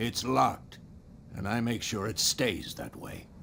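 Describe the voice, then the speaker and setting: Through clear background noise, a man speaks at a fairly slow pace in a raspy put-on character voice of medium pitch. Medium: video game. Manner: gruff, guarded.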